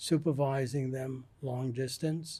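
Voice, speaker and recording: A man speaks slowly-ish, at a fairly slow pace, in a fairly high pitch. His voice is somewhat breathy, dark and mellow, with flat, monotone intonation. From US Northeast, New York. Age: 80s+. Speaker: retired psychiatrist, author. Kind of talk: interview.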